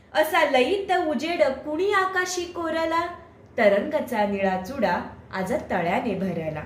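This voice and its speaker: A woman with a non-native accent speaks at a high pitch with very wide pitch swings, with noticeable background noise. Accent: non-native Marathi. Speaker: poet. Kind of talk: poetry reading.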